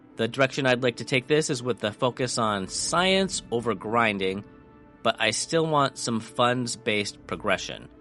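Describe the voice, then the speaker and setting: Music plays in the background as a man with a medium pitch speaks at a moderate pace, his intonation lively. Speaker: gaming video creator. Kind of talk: casual gameplay commentary.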